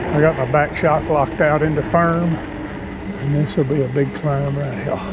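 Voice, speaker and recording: Amid noticeable background noise and audible room echo, a man with a fairly high pitch talks at a moderate pace with fairly even intonation. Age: 60s. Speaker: vlogger, mountain biker. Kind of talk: casual vlog narration while riding. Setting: outdoors on a mountain bike trail. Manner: breathy, panting between phrases.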